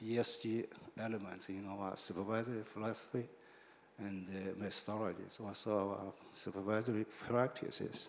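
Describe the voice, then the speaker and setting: A man's fairly low, monotone voice with a Chinese accent, flat intonation, a moderate pace and audible room echo. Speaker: financial regulator. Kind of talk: panel discussion. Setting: stage with audience. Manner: halting, many fillers.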